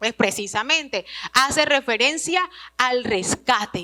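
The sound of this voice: With a bright, sharp tone and lively intonation, a woman talks slowly at a high pitch.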